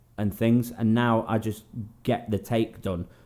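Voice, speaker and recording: In an English accent, a dark, mellow tone moves at a moderate pace on a very clean recording with a silent background. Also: man. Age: 20s. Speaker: singer and guitar YouTuber. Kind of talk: Q&A vlog. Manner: casual, hesitant with many ums.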